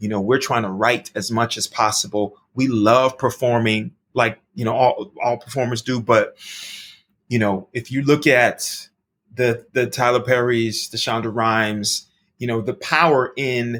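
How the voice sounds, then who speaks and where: A man talks at a fairly slow pace in an ordinary speaking voice, medium in pitch, with fairly even intonation. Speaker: Broadway actor and recording artist. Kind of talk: casual interview answer.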